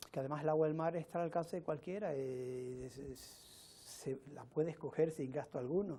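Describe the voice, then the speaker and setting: A man's fairly high voice, dark and mellow in tone, at a moderate pace with fairly even intonation. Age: 70s. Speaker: interviewee, sea-water drinker. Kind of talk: interview.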